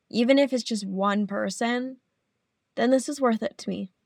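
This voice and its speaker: A plain, everyday voice from a woman, fairly high in pitch with ordinary pitch variation, in a dry, close sound with no echo. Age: 20s. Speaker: podcast host. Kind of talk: casual solo monologue.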